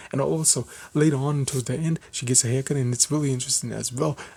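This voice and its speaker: A man speaks at a very fast pace with medium pitch and ordinary pitch variation. His tone is dark and mellow, and somewhat breathy. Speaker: anime reviewer. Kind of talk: video review. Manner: casual, halting with fillers.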